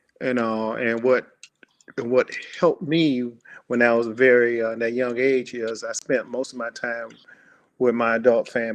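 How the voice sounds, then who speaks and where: With an American accent, a man talks at a moderate pace in a medium pitch. His intonation is monotone and flat, broken by long, frequent pauses. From Miami, Florida (Liberty City, Overtown). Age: 60s. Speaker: podcast guest. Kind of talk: casual chat. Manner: halting.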